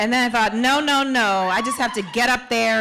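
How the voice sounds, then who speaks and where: The speaker has an American accent and talks at a fairly quick pace. Pitch variation is ordinary, and background noise is noticeable. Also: woman. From Queens, New York. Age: young. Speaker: actor and performer. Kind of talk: stage speech. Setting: stage with audience.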